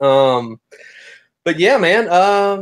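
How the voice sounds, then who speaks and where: Someone with a Southern US accent speaks with ordinary pitch variation. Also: man. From US South. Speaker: crypto newsletter creator. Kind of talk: casual chat.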